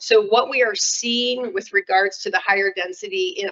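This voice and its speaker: With an ordinary speaking voice, a woman of medium pitch talks at a moderate pace with ordinary pitch variation, in a dry, close sound with no echo. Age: 60s. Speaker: city official. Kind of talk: public meeting presentation. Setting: council meeting.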